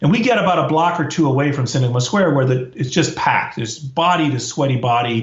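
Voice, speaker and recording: Somewhat breathy, a man talks with an American accent at a fairly high pitch. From US, Washington DC. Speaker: professor. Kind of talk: interview storytelling.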